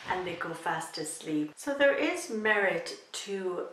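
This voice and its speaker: Against noticeable background noise, a woman speaks at a very slow pace. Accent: Irish. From Ireland. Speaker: YouTuber. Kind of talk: casual talk to camera.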